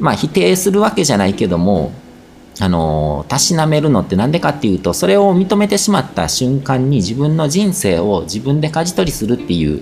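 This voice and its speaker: Loudness stays very even while the pitch swings very widely at a fairly quick pace, with noticeable background noise behind. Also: man, medium pitch for a man. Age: 40s. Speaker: spiritual podcast host and blogger. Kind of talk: casual monologue answering listener questions. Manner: hesitant, many fillers.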